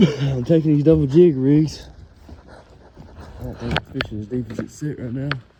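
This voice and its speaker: Speaking at a moderate pace with long, frequent pauses, a man with a Kentucky accent has a fairly high pitch and big swings in loudness, with noticeable background noise behind him. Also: ordinary pitch variation. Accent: Kentucky rural Southern US. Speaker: fishing video creator. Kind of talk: casual outdoor fishing commentary. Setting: outdoors on a lake shore.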